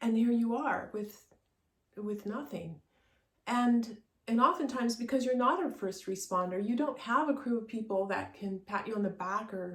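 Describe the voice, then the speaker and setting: The woman's fairly high voice is somewhat breathy. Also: ordinary pitch variation, moderate pace. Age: 60s. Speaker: artist and realtor sharing personal story. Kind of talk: personal testimony. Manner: halting, many fillers and repetitions.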